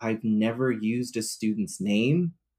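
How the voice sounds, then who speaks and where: This is an ordinary speaking voice from a man at a medium pitch, with ordinary pitch variation and a fairly slow pace. The recording is very clean, with a silent background. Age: 20s. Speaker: counselor and social media advocate. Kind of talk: casual chat.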